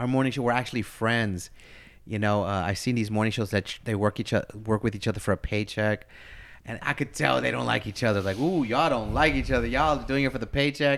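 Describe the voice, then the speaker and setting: A man's very fast, medium-pitched delivery with vocal fry and ordinary pitch variation, on a very clean recording with a silent background. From US, Philadelphia and East Los Angeles. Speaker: radio host. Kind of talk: casual interview.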